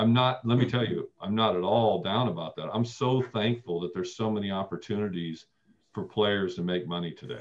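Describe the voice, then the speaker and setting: Speaking with an American accent, a man keeps a fairly quick pace and ordinary pitch variation. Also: fairly low pitch for a man. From US Midwest. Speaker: former college basketball player; guest. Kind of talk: casual chat. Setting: video call. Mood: warm, nostalgic. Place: home room. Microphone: video call.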